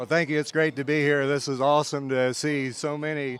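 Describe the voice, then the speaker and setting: A man with an American accent and a plain, everyday voice speaks at a moderate pace with a fairly high pitch. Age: 60s. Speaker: state politician and farmer. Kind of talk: interview. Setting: conference event.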